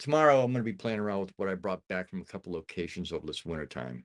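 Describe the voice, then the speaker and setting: At a very fast pace, a man with an American accent talks in a very deep, low pitch with very wide pitch swings and a dry, close sound with no echo. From upstate New York. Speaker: streamer. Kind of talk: casual chat. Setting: livestream.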